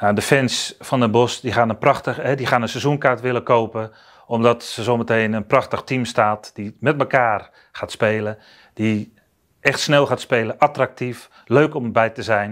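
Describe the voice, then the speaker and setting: Over a quiet background, a normal speaking voice moves at a fairly slow pace. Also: man, medium pitch for a man. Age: 50s. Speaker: basketball coach; basketball head coach. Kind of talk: introductory interview statement. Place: studio. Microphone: lapel.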